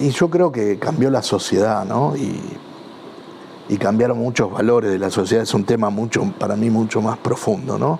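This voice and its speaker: A man with a Rioplatense accent, medium pitch, lively intonation and a moderate pace, over noticeable background noise. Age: 60s. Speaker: football club supporter. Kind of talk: interview testimony. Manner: halting, many fillers and repetitions.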